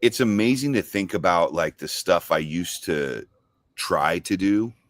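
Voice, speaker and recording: A man's ordinary speaking voice with an American accent, fairly low in pitch and lively in intonation, at a fairly slow pace, dry and close with no echo on a very clean recording with a silent background. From Southern California, Orange County. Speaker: cigar company founder. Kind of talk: casual chat.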